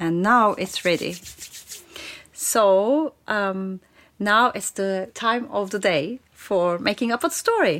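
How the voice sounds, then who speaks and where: In a very clean recording with a silent background, a woman speaks at a very slow pace with lively intonation, a medium pitch and a Turkish accent. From Turkey. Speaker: play expert and futurist. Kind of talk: personal narration with demonstrations.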